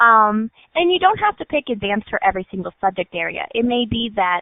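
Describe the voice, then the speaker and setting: This is a woman with a fairly high pitch. Her pace is fairly quick. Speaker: school counselor. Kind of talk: presentation with slides. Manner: fast.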